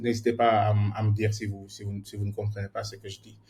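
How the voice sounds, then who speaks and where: The man's fairly low voice is somewhat breathy, and his intonation is monotone and flat. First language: more at ease in English than French (speaking French). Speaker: software engineer teaching a workshop. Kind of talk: online workshop lecture. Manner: halting, many repetitions and fillers.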